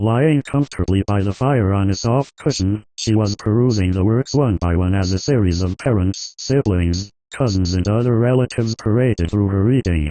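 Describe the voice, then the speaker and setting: A man puts on a character voice in a calm tone, with a fairly low pitch. He keeps a moderate pace with hardly any pauses, against a quiet background. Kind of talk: storybook reading. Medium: read story. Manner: calm, measured.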